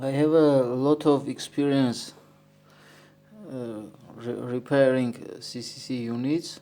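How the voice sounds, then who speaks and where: A man with a non-native accent speaks at a very slow pace with fairly even intonation. Long pauses come often. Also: medium pitch for a man. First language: not English. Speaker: electronics repair technician. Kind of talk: tutorial. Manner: halting, with many fillers.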